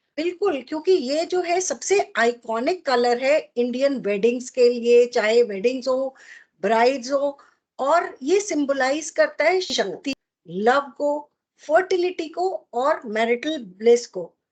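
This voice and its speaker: Her intonation is lively. The woman speaks with a high pitch. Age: 60s. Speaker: podcast co-host. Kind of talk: casual chat.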